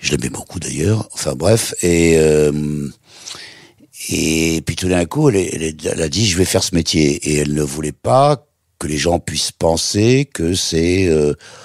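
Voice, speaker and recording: A man speaks very slowly in a very deep, low voice, recorded dry and close with no echo. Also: ordinary pitch variation. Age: 80s+. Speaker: TV presenter. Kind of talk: interview answer.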